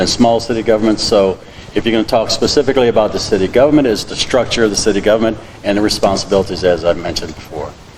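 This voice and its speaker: Over noticeable background noise, a man with a medium-pitched voice speaks at a very fast pace with ordinary pitch variation. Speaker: city council candidate. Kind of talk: candidate forum answer. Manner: loud.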